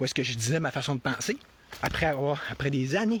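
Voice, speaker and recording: A man with a Quebec accent speaks in an animated tone with lively intonation at a moderate pace over noticeable background noise. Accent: Québécois French. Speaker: political commentator. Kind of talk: live-stream monologue. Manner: halting, many repetitions.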